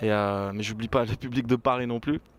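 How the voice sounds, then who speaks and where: This is a man's voice. His intonation is monotone and flat. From Burgundy, France. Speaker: rapper. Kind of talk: interview. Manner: casual, hesitant fillers.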